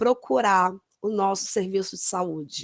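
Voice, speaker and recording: A woman at a very slow pace with ordinary pitch variation, in a very clean, silent-background recording that sounds dry and close with no echo. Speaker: nurse. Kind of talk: lecture.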